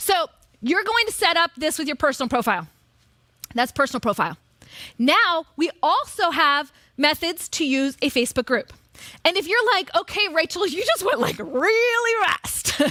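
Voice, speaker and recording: Extremely high in pitch, a woman speaks at a moderate pace in a raised, projected voice with a bright, sharp, animated tone and very wide pitch swings. The recording is very clean, with a silent background and a dry, close sound with no echo. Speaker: marketing coach on stage. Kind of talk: live seminar presentation.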